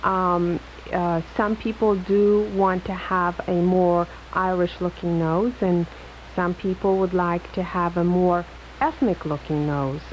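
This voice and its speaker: Speaking in an Eastern European accent, a woman keeps her intonation fairly even. Her pace is very slow. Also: fairly low pitch for a woman. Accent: foreign-sounding, Eastern European. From Poland, moved to US in high school. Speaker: plastic surgeon. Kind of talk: radio call-in interview. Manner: halting, many fillers.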